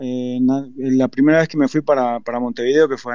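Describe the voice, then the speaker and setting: Here a man talks at a medium pitch and a fairly quick pace. His intonation is monotone and flat. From Uruguay, Florida. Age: 50s. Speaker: football coach. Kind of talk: interview. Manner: halting.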